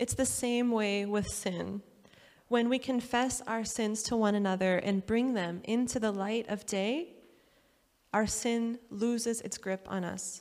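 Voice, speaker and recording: Delivery is very slow. The intonation remains fairly even. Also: woman, fairly high pitch for a woman. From USA. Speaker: pastor. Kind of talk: sermon.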